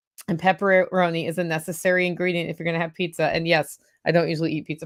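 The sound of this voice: A woman in a put-on character voice speaks at a very fast clip, her fairly low, raspy tone held in a flat monotone over a very clean recording with a silent background.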